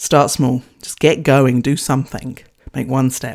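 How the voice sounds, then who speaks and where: In a New Zealand accent, a woman speaks at a moderate pace, her very deep, low pitch carrying a dark, mellow tone. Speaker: podcast host, leadership coach and former charge nurse. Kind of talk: solo podcast talk.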